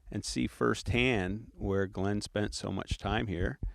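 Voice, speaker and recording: A man talks fairly slowly in a plain, everyday voice with a fairly low pitch. The background is quiet. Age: 60s. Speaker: retired business executive. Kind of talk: casual chat. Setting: outdoors.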